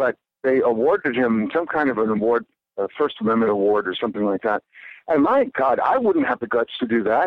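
A man has an unremarkable speaking voice at a medium pitch with ordinary pitch variation. He talks at a fairly quick pace with very even loudness. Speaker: author. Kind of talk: interview conversation.

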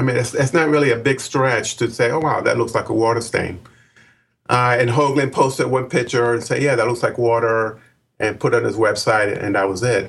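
Somewhat breathy speech moves at a fairly quick pace with fairly even intonation and very even loudness, captured in a very clean recording with a silent background. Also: man, medium pitch for a man. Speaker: Mars researcher. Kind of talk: interview.

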